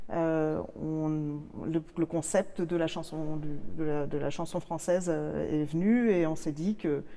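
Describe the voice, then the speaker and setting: A woman's very deep, low voice with fairly even intonation at a very slow pace. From Canada. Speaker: singer and musicologist. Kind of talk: interview. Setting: church. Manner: halting, many hesitations.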